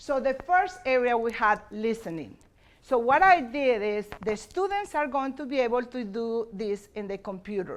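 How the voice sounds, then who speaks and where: This woman has a Spanish accent and a fairly high pitch. Her intonation is lively and her pace moderate. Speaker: bilingual teacher. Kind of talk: conference presentation. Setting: conference session with audience. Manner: halting.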